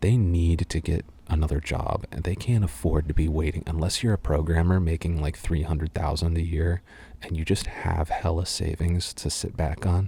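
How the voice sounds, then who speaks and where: Speaking at a fairly quick pace, a man with a very deep, low pitch sounds somewhat breathy, his tone dark and mellow. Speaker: ASMR voice actor. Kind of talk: casual talk to camera, Q&A answers. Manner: animated, opinionated, rant-like.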